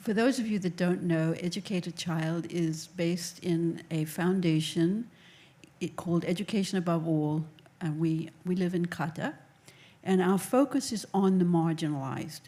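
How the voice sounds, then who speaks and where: A soft-spoken woman's dark, mellow voice, fairly low in pitch, with ordinary pitch variation and a moderate pace. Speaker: education nonprofit executive. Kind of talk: panel discussion.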